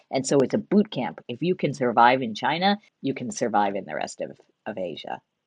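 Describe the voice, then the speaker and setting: A woman with an American accent speaks at a fairly quick pace in a very deep, low pitch with vocal fry, her pitch swinging very widely and her loudness shifting a lot. The sound is dry and close, with no echo. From United States. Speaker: business leader. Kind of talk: interview conversation.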